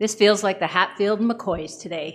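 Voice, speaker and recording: With a Canadian accent, a woman speaks in an unremarkable speaking voice at medium pitch, with ordinary pitch variation and a moderate pace. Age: 60s. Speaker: retired nurse, public deputant. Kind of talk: public deputation to council. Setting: council meeting.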